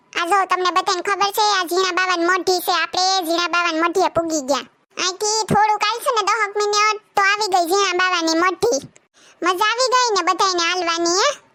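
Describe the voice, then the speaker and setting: A woman does a squeaky cartoonish character voice at an extremely high pitch, with ordinary pitch variation, very even loudness and a moderate pace. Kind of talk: comic cartoon acting. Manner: chatty, bossy, teasing.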